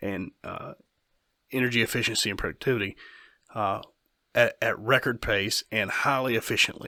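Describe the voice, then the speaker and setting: Recorded dry and close with no echo against a silent background, a man talks at a moderate pace with long, frequent pauses. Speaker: podcast host and company owner. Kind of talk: casual podcast chat.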